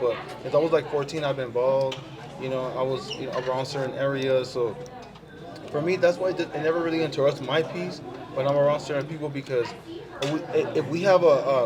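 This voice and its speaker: A man talks at a fairly quick pace in a fairly high voice with fairly even intonation. The recording has noticeable background noise and audible room echo. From California and Mexico. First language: Spanish. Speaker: social media personality. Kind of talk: casual chat. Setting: pizza restaurant.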